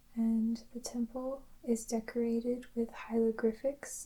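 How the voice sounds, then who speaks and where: The speaker is soft-spoken, with a calm tone. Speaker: ASMR creator. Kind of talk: soft-spoken descriptive narration. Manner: slow, calm.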